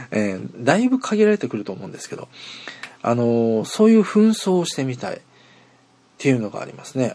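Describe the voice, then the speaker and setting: Over noticeable background noise, a man speaks at a fairly quick pace with big swings in loudness and long, frequent pauses. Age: 40s. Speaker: internet radio host. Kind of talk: casual solo podcast monologue. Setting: outdoors at a train station.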